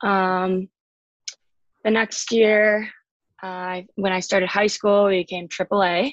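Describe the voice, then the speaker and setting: Very slow and marked by long, frequent pauses, a woman with an American accent speaks at medium pitch in a flat monotone, the sound dry and close with no echo. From Chicago and Colorado, US. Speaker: college ice hockey player. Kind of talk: casual interview.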